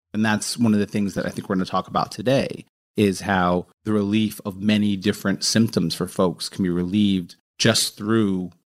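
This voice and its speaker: This man has a normal speaking voice, fairly low in pitch, with fairly even intonation, captured in a very clean recording against a silent background. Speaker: epidemiologist researcher guest. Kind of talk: casual interview discussion.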